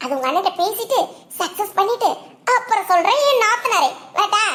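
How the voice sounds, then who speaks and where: A woman's cartoonish character voice, extremely high-pitched, with lively intonation at a moderate pace. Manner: needling and conspiratorial.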